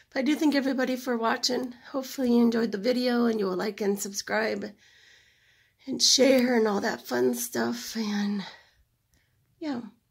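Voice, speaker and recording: Over a quiet background, a woman talks at a moderate pace with vocal fry. Her pitch is fairly high and her intonation fairly even. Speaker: acrylic fluid artist. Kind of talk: tutorial. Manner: casual, chatty. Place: home room. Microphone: phone near.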